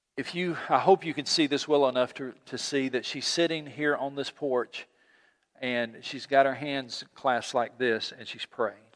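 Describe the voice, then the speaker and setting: A man with an ordinary speaking voice talks at a moderate pace, fairly high in pitch, with fairly even intonation and big swings in loudness. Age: 60s. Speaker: pastor. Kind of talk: sermon. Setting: church.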